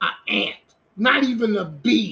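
A man speaks with an extremely high pitch and a raised, projected voice. His tone is animated, with ordinary pitch variation. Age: 50s. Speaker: sports podcast host. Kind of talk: casual monologue.

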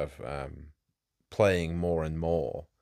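In a very clean recording with a silent background, a man speaks with a very deep, low pitch in a dry, close sound with no echo. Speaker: podcast host. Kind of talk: casual chat. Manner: slow, hesitant.

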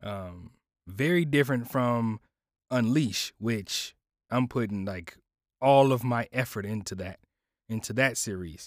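In a very clean recording with a silent background, a man speaks at a fairly slow pace and medium pitch, with ordinary pitch variation and long, frequent pauses. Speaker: podcast host and audio producer. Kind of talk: casual solo chat. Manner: halting with many fillers.

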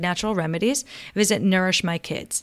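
A woman's warm, enthusiastic tone, dry and close with no echo. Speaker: podcast co-host. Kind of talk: casual interview chat.

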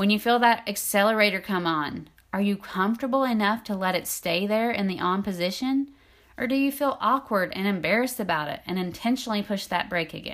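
A woman at a fairly quick pace, an ordinary speaking voice with ordinary pitch variation. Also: medium pitch for a woman, very clean recording, silent background. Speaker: intimacy coach and podcast host. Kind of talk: solo podcast talk.

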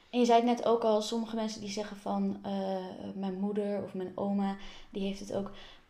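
Over noticeable background noise and audible room echo, a woman speaks fairly quickly at a medium pitch with monotone, flat intonation. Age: 20s. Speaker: podcast host. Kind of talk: interview.

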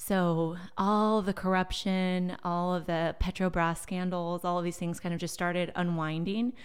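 Speaking at a fairly slow pace with hardly any pauses, a woman with a General American accent holds a monotone, flat intonation at a fairly low pitch on a very clean recording with a silent background. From Silicon Valley, California. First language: Portuguese. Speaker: marketing executive. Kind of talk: casual interview.

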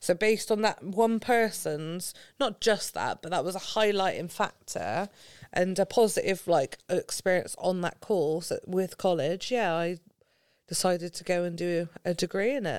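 A woman speaks with a Gloucestershire accent at a medium pitch and a moderate pace. Her pitch varies in an ordinary way, and the recording is very clean with a silent background. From England, Gloucestershire. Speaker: football coach developer. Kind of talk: podcast interview.

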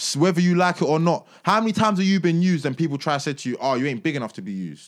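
In a very clean recording with a silent background, a man speaks at a fairly high pitch with lively intonation. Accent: London. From East London, Tower Hamlets. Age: 20s. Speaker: musician. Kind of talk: casual chat.

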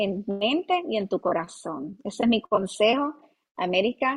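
Her voice is fairly high for a woman, and her intonation is lively. She speaks at a fairly slow pace. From Puerto Rico, Ponce. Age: 30s. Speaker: pastor. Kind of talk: interview testimony and advice. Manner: hesitant fillers like eh and verdad.

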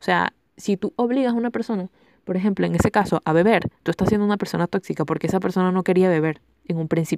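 A woman with a medium pitch talks at a very fast pace with ordinary pitch variation. The recording is very clean, with a silent background and a dry, close sound with no echo. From Venezuela. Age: 20s. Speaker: podcast host. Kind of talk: casual chat. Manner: animated.

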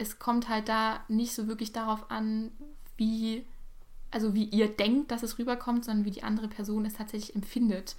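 Somewhat breathy and fairly high-pitched, a woman speaks at a fairly slow pace with monotone, flat intonation. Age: 18. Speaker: podcast guest. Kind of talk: casual chat.

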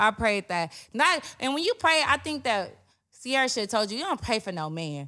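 A woman speaks at a moderate pace in a bright, sharp, fairly high voice. Her pitch swings very widely. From US South (Macon, Georgia), raised in Long Beach, California from age ten. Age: 30s. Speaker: podcast guest. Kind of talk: casual chat. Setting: studio.

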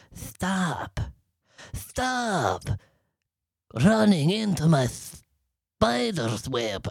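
This put-on character voice sits at a middle pitch and swings very widely up and down. It moves at a very slow pace, with long, frequent pauses. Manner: annoyed.

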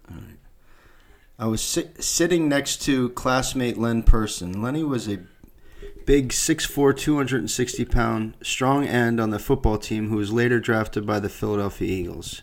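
An unremarkable speaking voice goes at a fairly slow pace with ordinary pitch variation. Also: man, medium pitch for a man. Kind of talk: casual banter.

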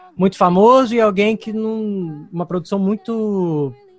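Music plays behind the voice. A man talks at a fairly slow pace. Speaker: actor and voice dubber. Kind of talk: interview.

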